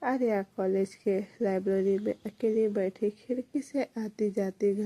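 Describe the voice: This is plain reading aloud. It is read in a straightforward way.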